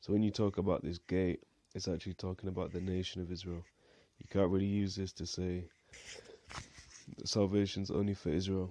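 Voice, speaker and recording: A man's very deep, low mumble in a dark, mellow tone, monotone and flat, at a fairly quick pace with long, frequent pauses. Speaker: Bible teacher. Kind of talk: bible study talk. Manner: mumbling.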